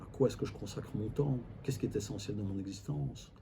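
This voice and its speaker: A man's dark, mellow tone with vocal fry and lively intonation, in audible room echo. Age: 60s. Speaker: family constellation facilitator. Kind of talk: interview. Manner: hesitant, repeats words.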